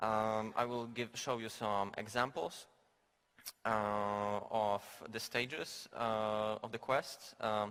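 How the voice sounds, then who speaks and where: Fairly even intonation in a bright, sharp tone from a man. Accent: Polish. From Poland. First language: Polish. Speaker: game designer. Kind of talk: conference talk. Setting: stage with audience. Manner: halting, many fillers.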